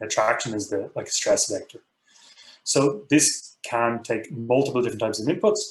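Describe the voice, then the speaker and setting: At a fairly quick pace, a somewhat breathy voice with an Irish accent carries lively intonation. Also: man. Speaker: professor. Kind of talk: tutorial. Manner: fast.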